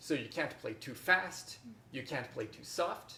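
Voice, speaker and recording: Fairly slow speech from a man, with audible echo from the room. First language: French. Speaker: harpist and workshop teacher. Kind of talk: masterclass teaching. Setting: workshop with online participants.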